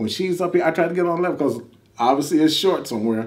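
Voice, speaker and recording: A man is speaking. His tone is animated. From northwest Indiana (Gary). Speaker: reality TV contestant, postal worker. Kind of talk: casual interview. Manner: repetitive, halting starts.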